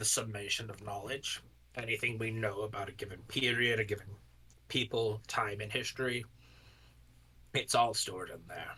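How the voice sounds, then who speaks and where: A man puts on a raspy character voice at a medium pitch. His intonation is monotone and flat, with long, frequent pauses. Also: moderate pace. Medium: actual play. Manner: earnest, explanatory.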